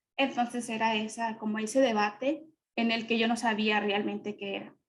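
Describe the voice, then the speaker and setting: At a moderate pace, a woman speaks in a fairly high pitch with a Mexican accent. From Mexico. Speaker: panelist. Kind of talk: testimony.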